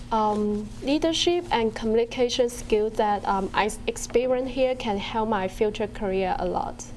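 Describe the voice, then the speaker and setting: In a Chinese accent, a woman talks at a fairly high pitch with ordinary pitch variation. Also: moderate pace. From China. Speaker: university student. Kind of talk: interview. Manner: hesitant, many um fillers.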